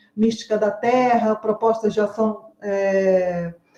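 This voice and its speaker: A woman with a fairly high voice draws out her words at a very slow pace. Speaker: university theatre professor and researcher. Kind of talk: academic panel presentation. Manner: halting, many filler sounds.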